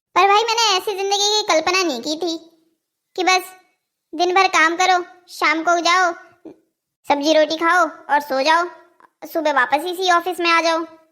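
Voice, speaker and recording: A woman speaks in a cartoonish character voice at an extremely high pitch. Her pace is moderate, her pitch varies in an ordinary way, and she takes long, frequent pauses. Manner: sarcastic, grumbling.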